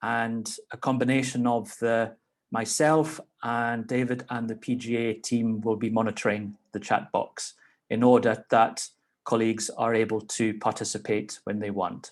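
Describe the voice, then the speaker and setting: Against a quiet background, a man with a Scottish accent talks at a moderate pace in a medium pitch, his intonation monotone and flat. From Scotland. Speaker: legislator chairing a meeting. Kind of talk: meeting chair remarks. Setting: video call.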